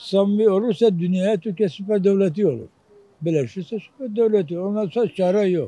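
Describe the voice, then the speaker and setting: A man speaks rather slowly, his pitch rising and falling in a normal way. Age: 70s. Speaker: street interviewee. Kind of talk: street interview. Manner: animated.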